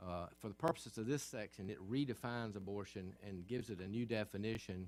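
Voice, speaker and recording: With music in the background, a man in a Southern US accent speaks at a moderate pace and a fairly low pitch. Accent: Southern American. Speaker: state senator. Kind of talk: legislative floor speech.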